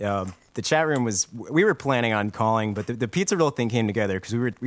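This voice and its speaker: The speaker talks at a very fast pace with an American accent. Pitch varies in an ordinary way. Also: man. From Ohio. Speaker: internet radio show host. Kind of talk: casual chat. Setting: internet radio stream.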